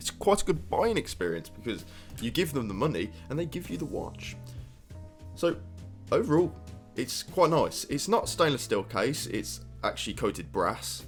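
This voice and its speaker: Music plays in the background as a man with a British accent speaks at a moderate pace with long, frequent pauses. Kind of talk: casual product review to camera.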